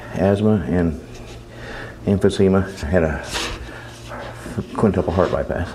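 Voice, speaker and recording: The speech has ordinary pitch variation, a moderate pace and long, frequent pauses, with noticeable background noise behind it. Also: man, very deep, low pitch for a man. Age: 60s. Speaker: suspect in sting interview. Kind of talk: interrogation.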